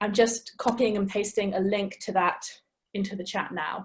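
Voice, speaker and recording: A woman with an English accent speaks at a moderate pace, somewhat breathy. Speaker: webinar host and curator. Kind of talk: event introduction.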